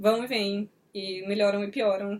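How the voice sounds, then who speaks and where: A woman speaks in an animated tone. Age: young. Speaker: book reviewer, video host. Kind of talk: casual chat, book review. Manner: fast.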